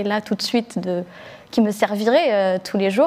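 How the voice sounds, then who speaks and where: Noticeable background noise runs under a woman speaking at a fairly quick pace. Her pitch is medium, with ordinary variation. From Algeria (Blida) until age 8, then France. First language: Algerian Arabic (Darija) (speaking French). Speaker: book editor, rap journalist. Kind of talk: panel discussion. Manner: hesitant, many fillers.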